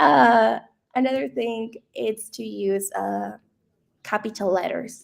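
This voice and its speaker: Long, frequent pauses break up a woman's very slow speech in a non-native accent. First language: not English. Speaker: founder, AI content expert. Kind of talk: webinar presentation.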